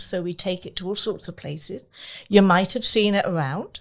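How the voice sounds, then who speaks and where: A woman with an English accent at a moderate pace, on a very clean recording with a silent background. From England. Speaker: entertainment company owner and face painter. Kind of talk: personal testimony in interview. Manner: halting, many fillers.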